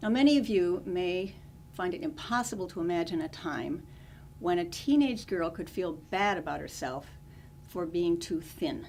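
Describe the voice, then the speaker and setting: Speaking with an American accent, a woman with a normal speaking voice and fairly low pitch uses lively intonation at a moderate pace. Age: 60s. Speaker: comedic monologuist. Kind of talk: humorous monologue to camera.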